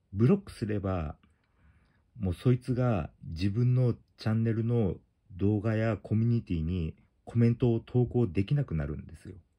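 Against a quiet background, a man talks at a moderate pace in a dark, mellow tone. His pitch variation is ordinary, but his loudness swings a lot. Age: 40s. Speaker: YouTuber. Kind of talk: tutorial. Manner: casual, halting. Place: home room. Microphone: phone near.

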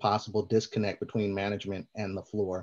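A man talks. Little can be heard behind him. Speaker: community host. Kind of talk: moderated panel discussion. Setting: video call. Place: home room. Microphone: video call.

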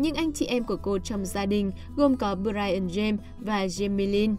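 A woman at medium pitch with ordinary pitch variation, music playing in the background. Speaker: narrator. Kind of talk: biography podcast narration.

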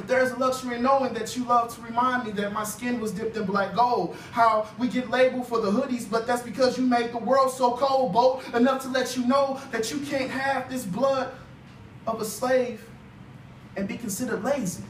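The voice moves at a moderate pace with fairly even intonation. Audible room echo and light background noise accompany it. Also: man. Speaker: spoken word poet. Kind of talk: spoken word poetry performance. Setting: live open mic. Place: hall.

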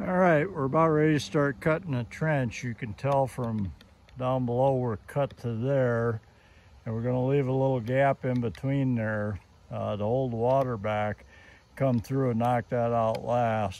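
A man talks at a fairly slow pace with ordinary pitch variation. The sound is dry with no echo. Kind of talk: casual vlog chat. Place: farm. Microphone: phone near.

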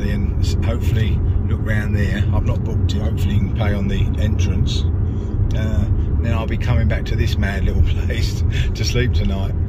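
Loud background noise surrounds a man speaking at a fairly quick pace, the sound itself dry with no echo. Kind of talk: casual vlog chat. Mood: amazed, cheerful. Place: car. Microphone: phone near.

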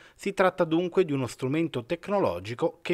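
Recorded very cleanly against a silent background, the sound is dry and close with no echo. A man with an unremarkable speaking voice talks in a fairly high pitch with lively intonation. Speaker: news reporter. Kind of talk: news reading.

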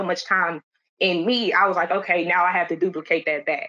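Speaking fairly quickly in an American accent, the voice has a bright, sharp tone. Intonation stays fairly even over a quiet background. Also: woman. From Detroit, Michigan. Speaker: medical administrative assistant. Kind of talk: panel discussion. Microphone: video call.

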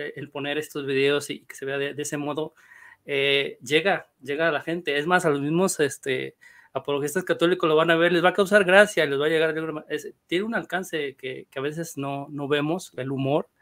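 Recorded very cleanly over a silent background, a man with a normal speaking voice talks at a moderate pace with a fairly high pitch and fairly even intonation. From northern Mexico (Monclova, Coahuila). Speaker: panel guest. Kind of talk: casual panel discussion.

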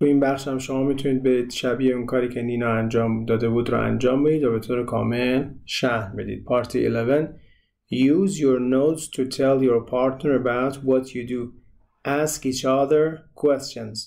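Using a plain, everyday voice, a man of medium pitch talks at a moderate pace with fairly even intonation. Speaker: English teacher. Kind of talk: tutorial.

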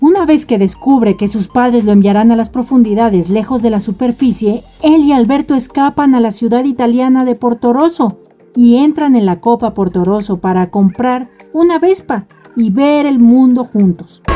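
Over music in the background, a woman speaks at a moderate pace in a high pitch with lively intonation. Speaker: narrator. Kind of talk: entertainment video narration.

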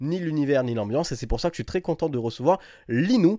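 Lively intonation and a dark, mellow tone at a fairly quick pace, with a dry, close sound with no echo on a very clean recording against a silent background. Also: man. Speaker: gaming channel host. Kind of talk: casual panel discussion.

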